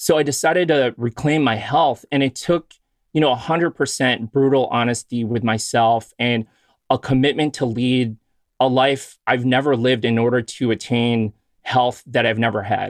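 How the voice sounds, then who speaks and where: A man with an American accent talks in a normal speaking voice at medium pitch and a moderate pace, with fairly even intonation, very even loudness, and a dry, close sound with no echo. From US Midwest, Chicago. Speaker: physician and podcast host. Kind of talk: casual interview chat.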